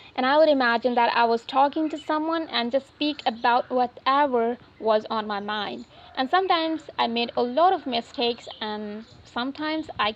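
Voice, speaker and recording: A woman with a non-native accent speaks at a high pitch and a moderate pace. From India, Uttar Pradesh. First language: not English. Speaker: English learning YouTuber. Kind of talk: casual talk to camera.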